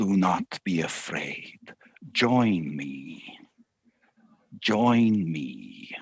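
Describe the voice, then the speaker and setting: In a put-on character voice, a man speaks with a fairly low pitch at a very slow pace, leaving long, frequent pauses. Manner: reassuring, beckoning.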